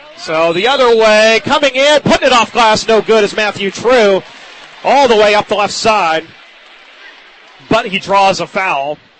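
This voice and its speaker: Amid noticeable background noise, a man talks in a high voice with lively intonation and long, frequent pauses. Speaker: radio sports play-by-play announcer. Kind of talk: live radio basketball play-by-play commentary. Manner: fast, energetic, fluent.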